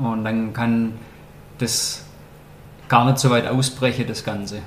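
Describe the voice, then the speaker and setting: In a room with audible echo, a man speaks at a fairly slow pace in a flat monotone at a medium pitch. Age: 30s. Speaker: wine sales worker, podcast guest. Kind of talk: casual interview.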